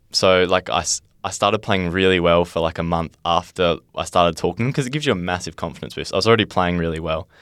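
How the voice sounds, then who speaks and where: A man with an Australian accent speaks at a very fast pace in a very deep, low pitch. The recording is very clean, with a silent background. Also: ordinary pitch variation, hardly any pauses. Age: 20s. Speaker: young footballer and podcaster. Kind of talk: casual chat.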